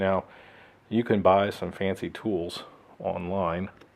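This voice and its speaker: A man speaks with a very deep, low pitch and a relaxed tone. His intonation stays monotone and flat. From Texas. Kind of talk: how-to tutorial narration. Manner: casual, relaxed.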